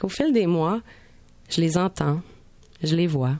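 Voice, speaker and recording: Fairly low in pitch, a woman's voice has a dark, mellow tone. She speaks at a fairly slow pace with ordinary pitch variation. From Montreal. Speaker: radio columnist. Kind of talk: scripted narration.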